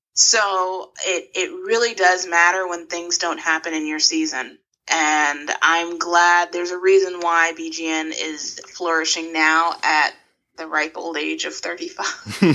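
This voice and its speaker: A woman with an unremarkable speaking voice talks at a fairly slow pace, her fairly low pitch and fairly even intonation paired with big swings in loudness. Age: 30s. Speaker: founder of an online fan platform. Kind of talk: interview.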